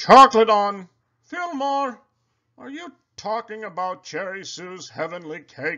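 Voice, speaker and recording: A man's high, raised, projected put-on character voice at a fairly slow pace. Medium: read story.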